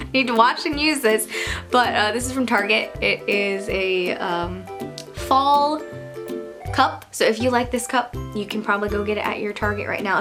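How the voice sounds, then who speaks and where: Music plays in the background. Over it, a woman talks at a moderate pace. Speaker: vlogger. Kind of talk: casual talk to camera. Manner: quieter, less animated than usual.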